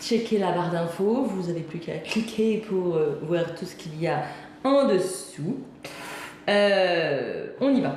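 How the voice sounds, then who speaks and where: Very slow speech from a woman, amid audible room echo and noticeable background noise. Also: medium pitch for a woman, lively intonation. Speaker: home cooking youtuber. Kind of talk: cooking tutorial. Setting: home kitchen. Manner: casual, hesitant with many fillers; soft-spoken.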